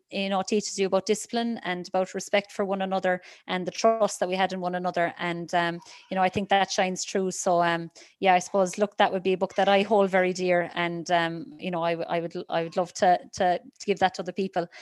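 Someone with a Cork accent talks at a fairly quick pace in a monotone, flat intonation, the sound dry and close with no echo over a quiet background. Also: woman. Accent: Cork Irish. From Ireland, County Cork. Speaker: athlete. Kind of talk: interview. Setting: video call. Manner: halting.

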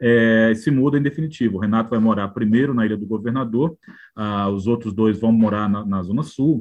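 Here is a man with an unremarkable speaking voice at medium pitch. He talks at a fairly quick pace with ordinary pitch variation. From Northeast Brazil, João Pessoa (Paraíba). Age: 50s. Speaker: biographer and journalist. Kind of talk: interview conversation.

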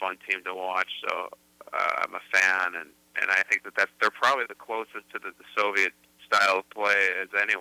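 A man with a Chicago accent, the sound dry and close with no echo. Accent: Chicago American. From US Midwest, Chicago. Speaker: film director. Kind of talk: interview. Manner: halting, with frequent repetitions.

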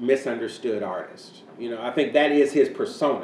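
This man's voice sits fairly high in pitch. There is noticeable background noise behind him. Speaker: podcast host and panel moderator. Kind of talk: casual panel chat podcast.

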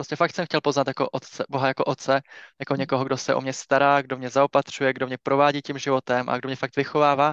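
In a dry, close sound with no echo and a quiet background, a man speaks at a very fast pace and a medium pitch. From Czech Republic, Liberec. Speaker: church ministry leader and bank employee. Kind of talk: casual interview about faith.

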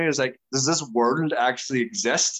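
A man speaks with an Irish accent. His medium-pitched voice shows ordinary pitch variation. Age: 30s. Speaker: dancer and dance teacher. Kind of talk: casual interview chat. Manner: animated.

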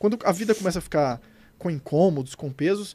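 The recording is very clean, with a silent background and a dry, close sound with no echo. A man speaks in a high voice with lively intonation. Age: 40s. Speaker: paranormal researcher. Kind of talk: interview answers in live panel. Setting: studio live with audience.

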